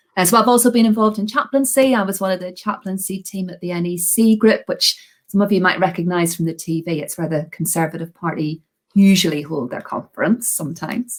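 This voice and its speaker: A woman's somewhat breathy, medium-pitched voice in a strong Belfast accent, with ordinary pitch variation. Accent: Belfast accent, strong but slowed down. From Northern Ireland, Belfast. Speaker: Methodist deacon. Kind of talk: podcast interview.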